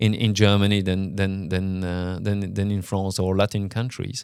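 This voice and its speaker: A man speaks fairly quickly, his pitch fairly low, with a French accent. The recording is very clean and the background silent. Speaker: company CEO talking about his leadership. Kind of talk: reflective monologue. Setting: on location in Luxembourg. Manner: halting, many repetitions and fillers.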